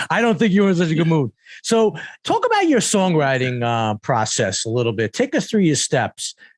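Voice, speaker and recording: Very wide pitch swings and an animated tone in a New York accent. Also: man, dry, close sound with no echo. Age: 60s. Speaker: podcast host. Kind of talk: interview.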